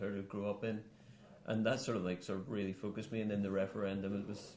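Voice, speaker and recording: A man with a Northern Irish accent talks at a very fast pace. Audible room echo surrounds his voice. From Northern Ireland. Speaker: musician and political activist. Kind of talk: studio interview. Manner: hesitant, many fillers.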